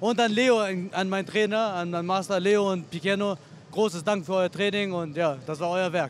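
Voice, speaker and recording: A man's high-pitched voice at a moderate pace, with ordinary pitch variation, a dry sound with no echo and light background noise. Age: 30s. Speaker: MMA fighter. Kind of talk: post-fight interview. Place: hall. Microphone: handheld.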